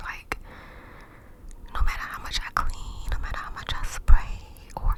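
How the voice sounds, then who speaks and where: A woman whispers over noticeable background noise. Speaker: ASMR creator, puppy owner. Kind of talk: casual talk to camera, ASMR story time. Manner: whispered, cupped-mouth ASMR.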